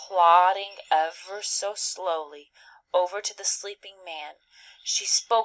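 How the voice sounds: Quiet surroundings behind a natural reading voice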